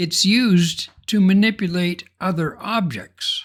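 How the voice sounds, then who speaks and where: Very slowly, a man speaks at a high pitch with ordinary pitch variation. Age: 70s. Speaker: software tutorial creator. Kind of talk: tutorial.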